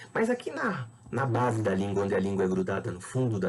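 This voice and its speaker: Audible room echo surrounds a man speaking at a fairly quick pace with lively intonation. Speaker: biology teacher. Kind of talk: lecture.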